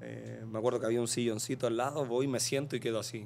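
There is light background noise. A man talks in a monotone, flat intonation. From Chile. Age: 20s. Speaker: professional footballer; podcast guest. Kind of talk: casual interview chat. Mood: reflective, recalling a loss. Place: studio. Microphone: studio mic.

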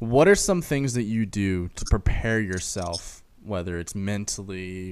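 A man's fairly low-pitched, ordinary speaking voice at a fairly slow pace, with light background noise. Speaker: podcast host. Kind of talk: casual chat. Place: studio. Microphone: studio mic.

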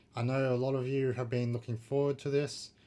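A man speaks in a somewhat breathy voice. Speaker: reaction video host. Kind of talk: casual vlog chat and reaction commentary. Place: home room. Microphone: webcam.

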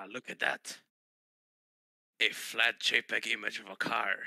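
A man does a put-on character voice that is raspy, medium in pitch, and fairly slow. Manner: casual, sneaky.

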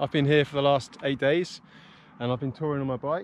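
A man talks in a dry sound with no echo. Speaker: bike touring vlogger. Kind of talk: casual vlog chat, gear walkthrough. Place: open country. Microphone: phone near.

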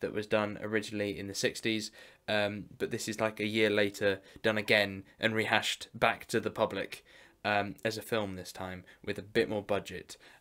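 The voice is monotone and flat, set against a quiet background. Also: man, fairly low pitch for a man, moderate pace. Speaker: collector vlogger. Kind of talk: casual vlog chat. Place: home room.

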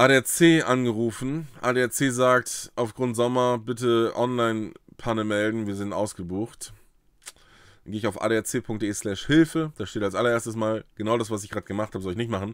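The background is quiet and the sound dry, without echo. A man talks at a moderate pace with ordinary pitch variation. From northern Germany, Uelzen; northern Germany. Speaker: YouTuber on trading card games; card game content creator. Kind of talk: casual vlog storytelling. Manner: animated. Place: home room.

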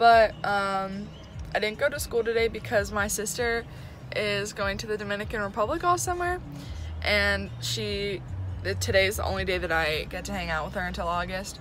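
A woman speaks at a moderate pace. The sound is dry with no echo, and faint music plays in the background. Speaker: student performer vlogger. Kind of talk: casual vlog chat. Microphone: phone near.

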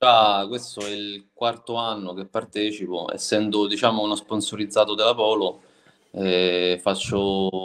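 The voice is monotone with flat intonation, moving at a fairly slow pace. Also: man, fairly low pitch for a man. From Italy, moved around, settled near Rome. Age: 30s. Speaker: security guard and spearfisherman; interview guest. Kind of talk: casual chat. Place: home room. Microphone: video call.

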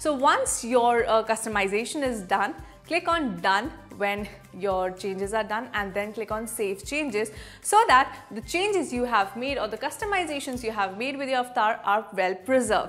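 A woman talks at a moderate speed while music plays faintly behind her. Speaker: presenter. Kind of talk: tutorial. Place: studio. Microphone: lapel.

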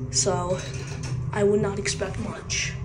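Noticeable background noise surrounds a woman's voice. She speaks at a fairly slow pace. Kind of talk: commentary. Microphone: phone near.

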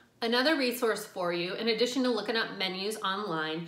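Audible room echo surrounds the recording. A woman talks with ordinary pitch variation. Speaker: vegetarian food vlogger. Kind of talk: casual vlog chat. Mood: friendly, chatty.

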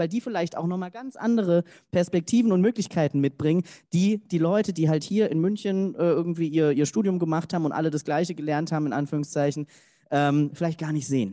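The speech moves at a very fast pace in a dark, mellow tone. The background is quiet. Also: man. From Germany, Cologne; Germany. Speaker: diversity consultant; keynote speaker. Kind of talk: keynote speech. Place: hall.

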